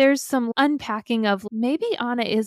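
A woman's fairly high-pitched, unremarkable speaking voice with ordinary pitch variation at a moderate pace, dry and close with no echo. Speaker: podcast host. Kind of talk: casual conversational podcast interview.

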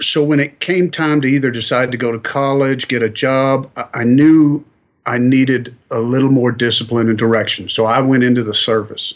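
A man with a slight Southern US accent talks at a medium pitch with fairly even intonation. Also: moderate pace. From Kentucky, US South. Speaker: welding industry manager. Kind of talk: interview. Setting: on location.

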